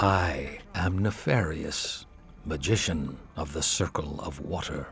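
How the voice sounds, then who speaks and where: Putting on a character voice, a man speaks fairly slowly at a very deep, low pitch. Background noise is clear. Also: ordinary pitch variation. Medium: video game. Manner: patronizing.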